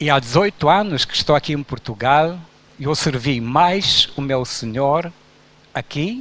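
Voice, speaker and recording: A fairly high-pitched man at a fairly slow pace, with ordinary pitch variation. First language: Romanian (speaking Portuguese). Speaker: pastor. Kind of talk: sermon.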